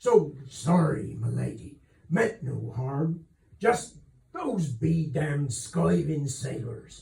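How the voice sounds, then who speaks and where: Putting on a character voice, a man speaks at a fairly high pitch with a raspy sound. His pace is very slow, and his pitch swings very widely. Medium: read story. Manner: soft, deferential to nobility.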